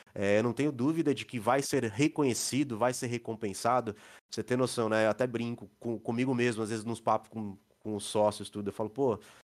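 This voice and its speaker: Very clean recording with a silent background of a man in an unremarkable speaking voice, medium pitch, fairly quick pace, fairly even intonation and big swings in loudness. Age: 40s. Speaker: IT consulting company co-owner. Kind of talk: casual interview.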